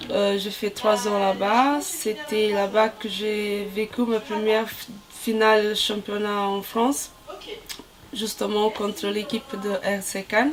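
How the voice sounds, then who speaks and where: A woman's very slow speech with fairly even intonation, over noticeable background noise. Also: fairly high pitch for a woman. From Brazil. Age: 30s. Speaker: volleyball player, team captain. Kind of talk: interview. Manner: halting, many hesitations.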